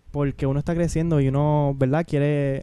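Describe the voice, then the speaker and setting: This man's fairly high voice has a dark, mellow tone and a monotone, flat intonation. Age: 20s. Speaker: young student and aspiring missionary. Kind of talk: interview testimony. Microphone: too far from the mic.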